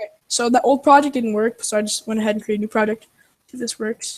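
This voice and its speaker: A woman with a fairly high voice talks very fast in a dry, close sound with no echo. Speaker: programmer co-host. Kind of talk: coding tutorial.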